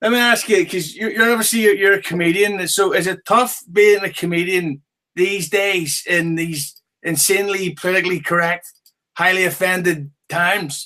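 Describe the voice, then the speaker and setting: Raised and projected, a man's high voice moves at a moderate pace with fairly even intonation. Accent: Northern Irish. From Northern Ireland, Belfast. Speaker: podcast host. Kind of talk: casual chat. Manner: drowsy, slurred during interview.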